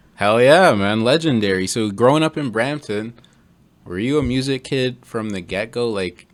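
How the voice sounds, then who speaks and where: A man with a Toronto accent talks at a moderate pace. His pitch is medium, with ordinary variation. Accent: Canadian English (Greater Toronto Area). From Ontario, Canada (Mississauga). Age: 20s. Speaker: podcast host. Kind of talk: casual chat.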